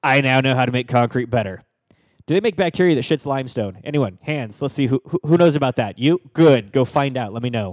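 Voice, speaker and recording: A man with an ordinary speaking voice talks at a fairly quick pace, using a medium pitch and ordinary pitch variation. The sound is dry and close with no echo, in a very clean recording with a silent background. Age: 30s. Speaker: tech podcast co-host. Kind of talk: casual chat.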